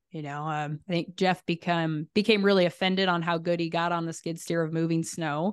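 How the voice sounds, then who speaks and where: A woman with an American accent speaks at a fairly low pitch in monotone, flat intonation. She moves at a fairly quick pace with hardly any pauses, in a dry, close sound with no echo over a quiet background. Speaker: rancher and beef business owner. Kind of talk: interview.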